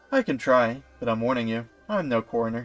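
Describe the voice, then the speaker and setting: Faint music plays behind a put-on character voice delivered at a fairly quick pace with a low-to-middle pitch. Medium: game stream.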